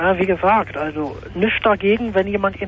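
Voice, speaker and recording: Noticeable background noise runs beneath speech delivered fairly quickly. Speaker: radio caller. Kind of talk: phone-in debate. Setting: phone call.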